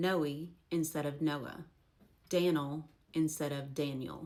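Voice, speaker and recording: With an Appalachian accent, a woman speaks in a very deep, low pitch and fairly even intonation. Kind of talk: casual educational talk to camera.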